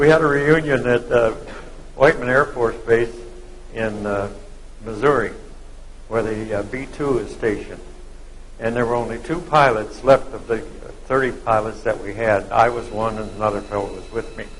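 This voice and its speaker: A man speaks at a moderate pace with long, frequent pauses and big swings in loudness. Audible room echo and noticeable background noise fill the recording. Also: medium pitch for a man, ordinary pitch variation. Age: 90s. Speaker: war veteran. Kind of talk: live interview. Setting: dinner event with audience.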